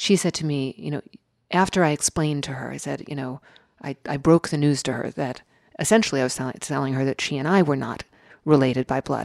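A woman with an American accent speaks at a fairly quick pace in a very deep, low voice with ordinary pitch variation and long, frequent pauses, recorded very cleanly against a silent background with a dry, close sound and no echo. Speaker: writer. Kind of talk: interview.

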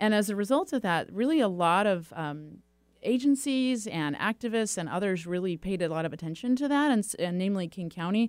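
With an ordinary speaking voice, a woman of medium pitch talks fairly quickly in lively intonation on a very clean recording with a silent background. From California, Silicon Valley. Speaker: nonprofit executive director. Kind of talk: interview.

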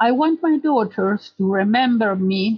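A woman speaks with an Argentine accent. Her voice is fairly high and somewhat breathy. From Argentina. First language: Spanish. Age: 70s. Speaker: storyteller. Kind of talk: personal storytelling.

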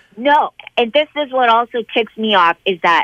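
A woman's fairly high voice at a fairly slow pace, with lively intonation. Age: 40s. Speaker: crash survivor. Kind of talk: testimony. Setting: phone call.

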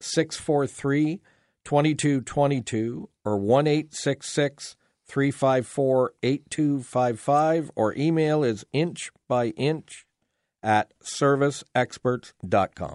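An ordinary speaking voice belongs to a man with a fairly high pitch and ordinary pitch variation, recorded dry and close with no echo against a quiet background. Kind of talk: radio dj patter: upbeat call-in show host plugging phone numbers, giveaways and sign-offs. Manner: friendly, chatty and fluent, with frequent 'uh' fillers and repeated promos; joking, easy banter with his co-host.

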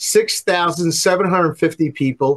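This man has a plain, everyday voice with ordinary pitch variation and a moderate pace. The sound is dry and close, with no echo. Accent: American. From New York. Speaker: pollster. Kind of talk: interview on politics and polling. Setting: remote interview.

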